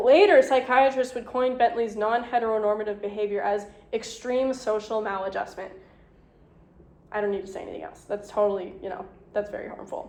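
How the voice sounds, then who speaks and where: A woman with a fairly high pitch speaks at a fairly quick pace with fairly even intonation and big swings in loudness, amid noticeable background noise and audible room echo. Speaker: lecturer. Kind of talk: lecture. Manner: fast.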